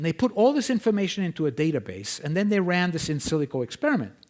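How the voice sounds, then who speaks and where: In a very clean recording with a silent background, someone with a non-native accent speaks very fast with lively intonation. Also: man. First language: not English. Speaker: scientist presenting research. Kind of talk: conference lecture. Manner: conversational, frequent 'okay?' checks.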